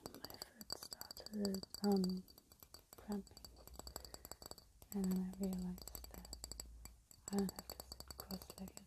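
Soft-spoken and fairly slow, a woman leaves long, frequent pauses, her loudness swinging widely amid noticeable background noise. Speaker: ASMR creator. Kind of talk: ASMR video. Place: home room. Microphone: earbuds.

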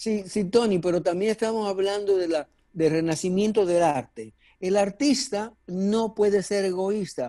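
The background is quiet as a man speaks at a fairly slow pace. His pitch is high, with ordinary variation. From Dominican Republic. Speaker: actor. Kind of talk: interview. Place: home room. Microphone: earbuds.

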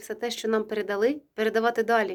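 Fairly high-pitched speech from a woman, recorded very cleanly against a silent background. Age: 40s. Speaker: historian and ethnologist, video blogger. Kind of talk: personal address to viewers.

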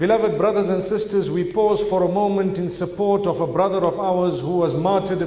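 Flat and monotone, a man talks in a high voice at a fairly quick pace. Room echo is audible. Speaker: speaker. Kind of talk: sermon. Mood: solemn, sorrowful. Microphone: podium.

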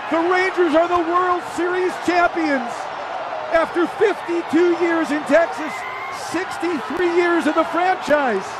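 Over loud background noise, a man talks at a very slow pace in a dry sound with no echo. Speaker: baseball radio play-by-play announcer. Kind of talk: live sports play-by-play call. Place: booth.

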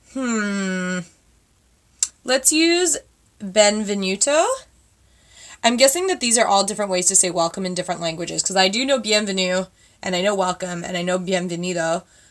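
Over a quiet background, a woman with a Canadian accent talks at a moderate pace and medium pitch, with ordinary pitch variation and long, frequent pauses. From Canada. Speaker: beauty vlogger. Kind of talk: makeup tutorial vlog. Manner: chatty, casual. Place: home room. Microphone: webcam.

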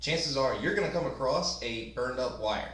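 A man is talking. There is audible echo from the room. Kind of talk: tutorial. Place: workshop.

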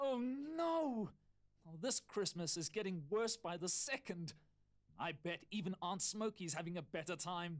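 A whiny put-on character voice at a middle pitch and a moderate pace. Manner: worried, whiny.

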